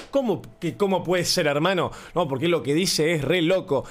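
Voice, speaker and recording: A man speaks in a high pitch with an Argentine accent. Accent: Rioplatense Argentine Spanish. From Argentina, Buenos Aires area. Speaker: podcaster. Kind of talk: casual monologue. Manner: animated.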